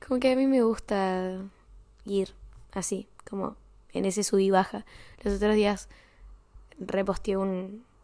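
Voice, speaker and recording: With a Rioplatense accent, the speaker has a dark, mellow tone and fairly even intonation. The pace is fairly slow, with long, frequent pauses. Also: woman, medium pitch for a woman. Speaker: podcaster. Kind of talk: personal diary-style monologue. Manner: halting.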